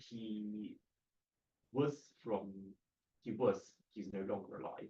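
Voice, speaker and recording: A man speaks at a very slow pace in a fairly low, somewhat breathy voice with ordinary pitch variation. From Hong Kong. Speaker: kung fu practitioner. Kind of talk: interview answers. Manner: clear, articulate; authoritative.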